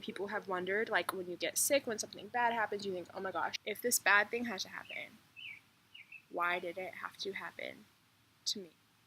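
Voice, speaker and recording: A woman of medium pitch with ordinary pitch variation and an ordinary speaking voice. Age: young. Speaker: chronic illness vlogger. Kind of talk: casual talk to camera.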